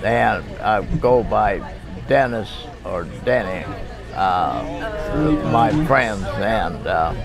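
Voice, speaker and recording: There is audible room echo and crowd noise in the background. A man with an American accent speaks at a very slow pace. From Washington State, Lewis County. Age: 90s. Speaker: retired logger. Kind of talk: oral history interview. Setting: family reunion. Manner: halting, many fillers.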